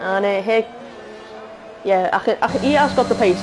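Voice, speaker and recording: A woman with a Liverpool accent speaks very fast in an animated tone. Noticeable background noise runs behind her. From northern England, Liverpool. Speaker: sim racing commentator. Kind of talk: live commentary. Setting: live stream. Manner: halting, many fillers.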